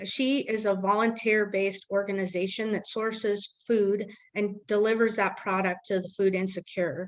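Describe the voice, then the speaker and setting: A woman speaks at a medium pitch and a moderate pace with hardly any pauses. Her intonation is monotone and flat. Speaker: nonprofit director. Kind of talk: annual meeting presentation.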